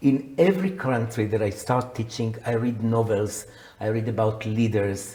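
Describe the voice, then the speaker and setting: Fairly slow speech with audible room echo. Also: man. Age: 70s. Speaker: psychotherapist and coach. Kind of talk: interview.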